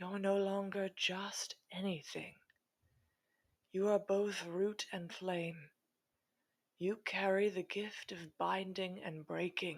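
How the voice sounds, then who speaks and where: A woman's breathy, put-on character voice at medium pitch, very slow, with long, frequent pauses. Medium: read story. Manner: solemn, prophetic.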